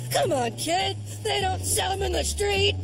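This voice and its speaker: Someone uses a put-on character voice at a moderate pace, with loud background noise behind it. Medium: fan dub. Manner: anxious.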